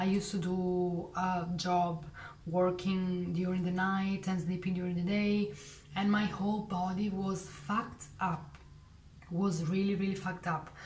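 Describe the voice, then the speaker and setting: With a non-native accent, a woman talks at a medium pitch in a flat monotone and a fairly slow pace, with audible room echo and noticeable background noise. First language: not English. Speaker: vlogger. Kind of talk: casual monologue. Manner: halting.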